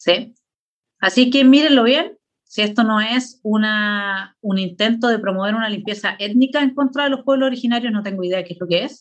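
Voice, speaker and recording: Moderately paced, this is an unremarkable speaking voice with ordinary pitch variation. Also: woman, fairly high pitch for a woman. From Chile. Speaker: political philosopher. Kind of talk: lecture with slides.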